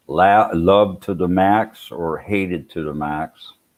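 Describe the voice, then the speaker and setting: Spoken at a very slow pace with fairly even intonation, the voice has an American accent. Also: man. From Sweden, moved to US young. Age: 60s. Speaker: vlogger. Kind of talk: live stream chat. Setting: live stream. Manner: halting, many fillers and repeats.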